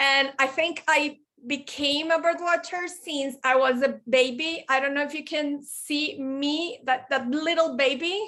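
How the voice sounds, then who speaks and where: A woman with a Spanish accent speaks in a raised, projected voice, high-pitched and bright with a sharp tone, at a fairly slow pace. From Colombia, Medellin. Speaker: bird conservationist and forestry engineer. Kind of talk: presentation. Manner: halting.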